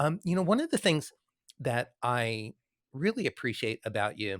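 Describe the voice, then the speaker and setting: This man speaks at a moderate pace. The sound is dry and close, with no echo. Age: 60s. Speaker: podcast host and musician. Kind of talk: interview chat. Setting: live video stream with online audience.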